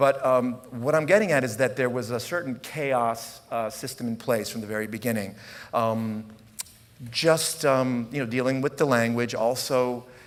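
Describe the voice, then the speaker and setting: A man of medium pitch speaks at a moderate pace with fairly even intonation, with audible room echo and noticeable background noise. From US, rural area, Italian immigrant family. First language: Italian. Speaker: puppet troupe director and artist. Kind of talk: conference talk. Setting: stage with audience. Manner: improvised, halting with fillers.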